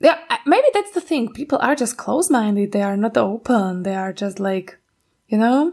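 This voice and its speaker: A woman with a Slovak accent speaks at a moderate pace. Her voice sits fairly high and her intonation is lively. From Slovakia. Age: 20s. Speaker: podcast co-host. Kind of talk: casual chat.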